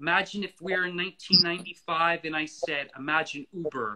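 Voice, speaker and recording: Here a man with an American accent talks at a high pitch in a bright, sharp tone. His pace is fairly slow, and the background is quiet. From US, Florida. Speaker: author of a book on the space industry; guest. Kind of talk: interview conversation. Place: home room. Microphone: video call.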